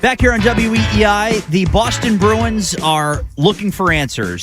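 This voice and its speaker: Music in the background behind a high male voice. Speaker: radio sports host and anchor. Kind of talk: radio show open and guest welcomes. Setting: radio studio.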